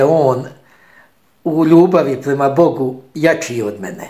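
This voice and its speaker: A man at a very slow pace with ordinary pitch variation, quiet background. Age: 50s. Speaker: Franciscan friar; speaker. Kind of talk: spoken homily. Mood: calm, warm, reflective. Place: home room. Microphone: phone near.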